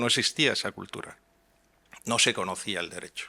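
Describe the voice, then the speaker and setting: Speaking at a moderate pace, a man with a Madrid accent has a bright, sharp tone on a very clean recording with a silent background. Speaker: transparency advocate panelist. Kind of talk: conference panel talk. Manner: hesitant, many fillers.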